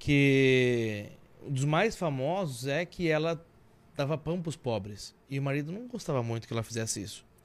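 On a very clean recording with a silent background, a man with a plain, everyday voice speaks at a moderate pace, his fairly high pitch carrying lively intonation. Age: 30s. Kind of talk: casual chat.

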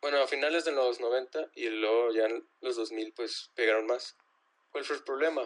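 With an unremarkable speaking voice, a man talks at a moderate pace and a medium pitch, keeping his intonation fairly even. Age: 20s. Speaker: drummer. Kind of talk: casual chat.

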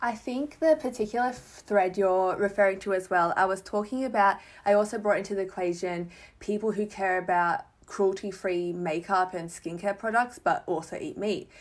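With an Australian accent, a woman talks on a very clean recording where the background is silent. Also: medium pitch for a woman, ordinary pitch variation, moderate pace. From Melbourne, Australia. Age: 20s. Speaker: writer and fashion Instagrammer. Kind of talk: casual chat.

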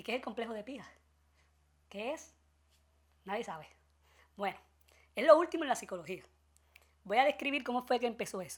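Her high voice rises and falls with lively intonation at a fairly quick pace, broken by long, frequent pauses. The woman's recording is very clean, with a silent background. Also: big swings in loudness. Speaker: podcast host. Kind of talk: comedic news commentary.

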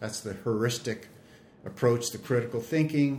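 A man at a moderate pace, fairly even intonation, an ordinary speaking voice. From Canada. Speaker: emergency physician and researcher. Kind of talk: expert interview on medical education podcast. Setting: studio.

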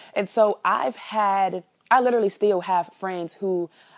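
A woman with an American accent and a normal speaking voice, at a moderate pace with fairly even intonation. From Chicago. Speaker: sex educator. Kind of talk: casual interview. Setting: call.

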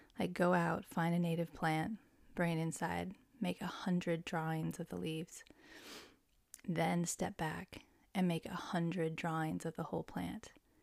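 In a very clean recording with a silent background, a woman with a fairly low pitch and a warm tone speaks at a moderate pace in a monotone, flat intonation. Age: 40s. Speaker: podcast host. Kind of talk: solo casual monologue. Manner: warm, hesitant with many fillers.

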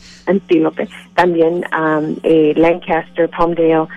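Music plays in the background. The speech is very slow, with monotone, flat intonation. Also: woman. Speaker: immigrant rights organization director. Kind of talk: radio interview. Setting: phone call. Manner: halting.

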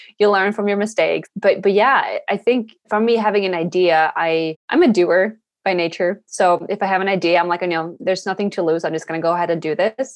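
A woman with a Swedish accent, medium pitch and ordinary pitch variation, fairly quick with hardly any pauses. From Sweden. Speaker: environmental activist and podcaster. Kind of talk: interview.

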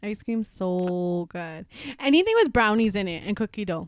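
A woman speaks at a moderate pace with a medium pitch in a Toronto accent. The recording is very clean with a silent background. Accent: Canadian English, Toronto. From Scarborough, Toronto, Canada. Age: 20s. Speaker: podcast co-host. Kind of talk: casual chat.

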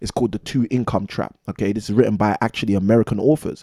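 A man with a medium-pitched voice and ordinary pitch variation talks at a very fast pace. The sound is dry and close, with no echo. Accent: London. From London, England. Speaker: real estate investor and former maths teacher. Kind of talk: casual interview.

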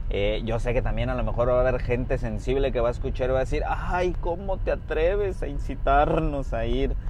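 A man talks at a fairly quick pace with very even loudness and hardly any pauses. The recording has audible room echo and noticeable background noise. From Mexico, Puerto Vallarta, Jalisco. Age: 20s. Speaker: podcaster. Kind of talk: casual monologue. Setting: in a car, driving.

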